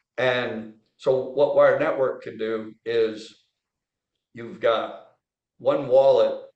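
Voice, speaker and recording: A man speaks at a very slow pace with long, frequent pauses and big swings in loudness, amid audible room echo. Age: 70s. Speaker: trial lawyer and tech investor. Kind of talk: casual interview chat. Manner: animated.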